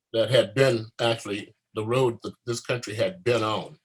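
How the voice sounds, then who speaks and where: Somewhat breathy, a man talks at a fairly slow pace and medium pitch. His intonation is fairly even. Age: 70s. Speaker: war veteran. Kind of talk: panel discussion. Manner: passionate.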